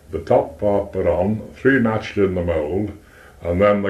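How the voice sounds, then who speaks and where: Here a man talks at a moderate pace with a Potteries accent and a fairly low pitch. His intonation is fairly even, and audible room echo surrounds him. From Stoke-on-Trent, England; England. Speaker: retired pottery manufacturer. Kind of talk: oral history interview. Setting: front room at home. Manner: halting, repetitive. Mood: relaxed reminiscing. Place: home room. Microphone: cassette recorder, poor audio; old recording.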